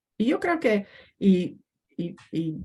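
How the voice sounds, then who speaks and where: This woman speaks in a somewhat breathy, dark and mellow tone at a medium pitch, with an English accent. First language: English (speaking Spanish). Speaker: historian. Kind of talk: academic panel talk. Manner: halting.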